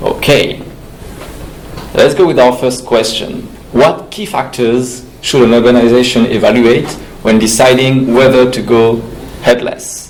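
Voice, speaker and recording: In a room with audible echo and noticeable background noise, a man with a French accent speaks at a fairly slow pace, using fairly even intonation and long, frequent pauses. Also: medium pitch for a man. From France. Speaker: panel moderator, web developer. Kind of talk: panel discussion moderation. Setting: conference stage with audience.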